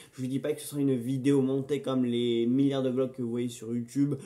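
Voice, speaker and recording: At a fairly quick pace, a man of medium pitch talks in a flat monotone with a dark, mellow tone. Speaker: film review YouTuber. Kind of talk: casual unboxing vlog. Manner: hesitant, many fillers and repetitions.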